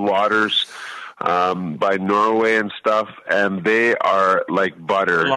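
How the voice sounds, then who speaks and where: A man's bright, sharp, fairly low voice, very slow, with fairly even intonation. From Canada. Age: 70s. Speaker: radio co-host, restaurant owner. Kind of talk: casual chat.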